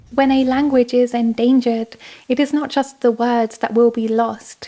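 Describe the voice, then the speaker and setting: Monotone, flat intonation from a woman with a Southern British accent, high in pitch at a moderate pace, amid noticeable background noise. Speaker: video essayist. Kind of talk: scripted narration. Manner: conversational.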